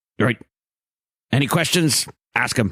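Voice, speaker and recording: A man's raspy, medium-pitched put-on character voice. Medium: actual play. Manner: courteous, composed.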